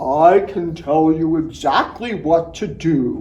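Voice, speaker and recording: Very slow delivery in a put-on character voice. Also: man, high pitch for a man. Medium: read story.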